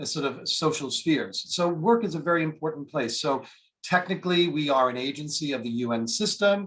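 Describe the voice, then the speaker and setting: With an American accent, a man speaks at a fairly high pitch with ordinary pitch variation. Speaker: international organization official. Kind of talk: webinar presentation. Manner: fast.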